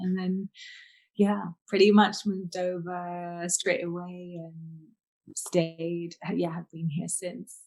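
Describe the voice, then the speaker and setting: With a British accent, a woman speaks very slowly in a fairly low pitch with monotone, flat intonation, big swings in loudness, and long, frequent pauses. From England, North London. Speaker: holistic healer and author. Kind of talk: interview.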